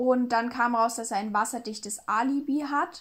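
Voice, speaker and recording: Over a silent background in a very clean recording, a woman speaks at a fairly slow pace. Her voice is somewhat breathy and fairly high in pitch. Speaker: true crime podcast co-host. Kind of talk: casual storytelling chat.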